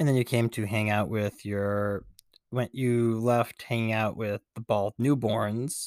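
A man with a normal speaking voice talks at a fairly slow pace in a medium pitch, his intonation fairly even. The recording is very clean, with a silent background and a dry, close sound with no echo. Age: 30s. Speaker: podcast co-host. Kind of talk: casual chat.

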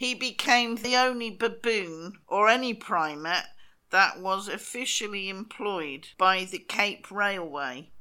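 Speaking very slowly with a British accent, a woman uses a medium pitch, a bright, sharp tone, and lively intonation. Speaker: podcast co-host. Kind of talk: casual chat, comedic. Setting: recording remotely from Spain.

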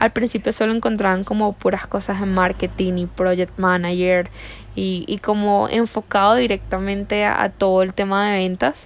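A woman talks in a normal speaking voice at a medium pitch. Her intonation is fairly even, and her pace is moderate. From Venezuela, La Guaira. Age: 20s. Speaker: virtual assistant. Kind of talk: self-introduction video.

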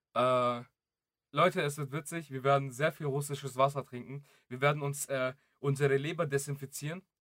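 A fairly high-pitched man at a moderate pace, monotone and flat, with long, frequent pauses. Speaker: podcast co-host. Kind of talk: casual chat. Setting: late-night recording. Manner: soft, keeping quiet late at night.

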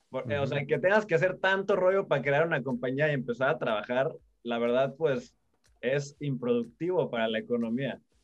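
With a Mexico City accent, a man talks at a fairly quick pace in a fairly high pitch with lively intonation. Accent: chilango (Mexico City). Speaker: crypto enthusiast. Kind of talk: casual chat. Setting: video call.

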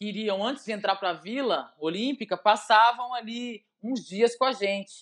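In a normal speaking voice, a woman talks at a moderate pace, fairly high in pitch with ordinary pitch variation. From Brazil, Belo Horizonte (Minas Gerais). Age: 40s. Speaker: former volleyball player. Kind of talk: casual interview.

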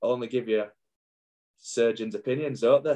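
The speaker has a Yorkshire accent and talks at a fairly quick pace. The intonation is lively. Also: man. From northern England, Wakefield. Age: 40s. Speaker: former rugby league player. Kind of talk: casual chat.

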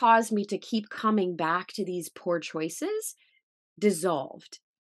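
An unremarkable speaking voice from a woman with an American accent, medium pitch and a fairly slow pace, against a quiet background. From Missouri, US Midwest. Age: 40s. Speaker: author and speaker on faith, former actress. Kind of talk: testimony.

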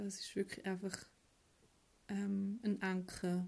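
Speaking with a Swiss accent, a woman has a dark, mellow tone at a medium pitch. Her voice is somewhat breathy and her pace is very slow. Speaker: office worker recording voice messages. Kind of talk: casual voice message. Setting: home office desk. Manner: monotone.

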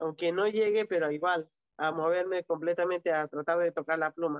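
Her pitch sits fairly low for a woman. She keeps her intonation fairly even. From Peru. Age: 30s. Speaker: para-badminton athlete. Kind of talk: interview. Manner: halting.

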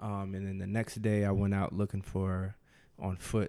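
A man with an American accent speaks in a fairly low, dark, mellow tone with monotone, flat intonation, recorded very cleanly against a silent background. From New Jersey. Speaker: podcast guest, husband. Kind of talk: casual chat.

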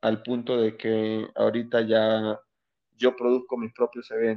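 Flat and monotone in intonation, a man talks at a medium pitch. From Venezuela, Anzoátegui (eastern). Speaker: stand-up comedian. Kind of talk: casual interview.

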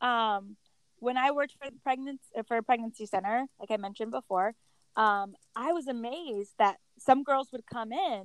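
A woman with a plain, everyday voice speaks at a moderate pace with an American accent, her pitch fairly high and its variation ordinary. The sound is dry and close, with no echo. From Connecticut. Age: 30s. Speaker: pro-life activist. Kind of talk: casual chat. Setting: app call.

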